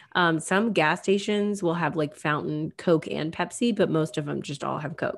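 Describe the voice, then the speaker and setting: A woman's fairly low voice with vocal fry, at a moderate pace with ordinary pitch variation and hardly any pauses. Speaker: podcast host. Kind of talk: casual chat.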